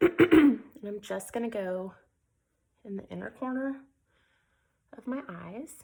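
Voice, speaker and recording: The speaker's dark, mellow tone comes with big swings in loudness, very wide pitch swings and long, frequent pauses. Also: woman, fairly high pitch for a woman. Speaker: makeup tutorial creator. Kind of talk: tutorial. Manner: casual, with fillers.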